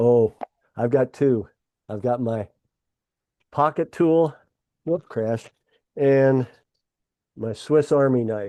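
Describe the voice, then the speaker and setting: A man with an American accent and a dark, mellow tone, at a very slow pace with long, frequent pauses and ordinary pitch variation, in a dry, close sound with no echo. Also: medium pitch for a man. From Pennsylvania, US. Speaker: farmer and political candidate. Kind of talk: casual interview.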